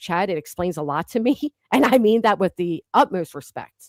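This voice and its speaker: In a Philadelphia accent, a woman speaks at a fairly quick pace with a fairly low pitch, recorded very cleanly against a silent background in a dry, close sound with no echo. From Philadelphia, US. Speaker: YouTube livestream host. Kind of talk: heated live-stream discussion. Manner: loud.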